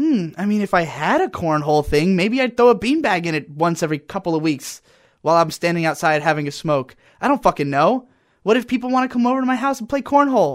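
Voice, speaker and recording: A man with an American accent speaks in very wide pitch swings. The recording is very clean, with a silent background. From US South. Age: 20s. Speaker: podcast host. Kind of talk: stream-of-consciousness rant. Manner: animated.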